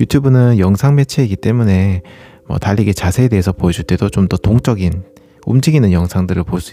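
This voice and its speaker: A man with a fairly low pitch, a dark, mellow tone, a relaxed, calm manner and a fairly quick pace. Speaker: running youtuber and podcast host. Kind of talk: casual solo monologue. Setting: home recording late at night. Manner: relaxed, calm late-night talk.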